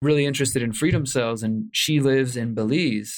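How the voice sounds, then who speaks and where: An unremarkable speaking voice, a man with an American accent talks at a fairly quick pace with fairly even intonation. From Houston, Texas. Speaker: investigative journalist and author. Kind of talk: interview conversation.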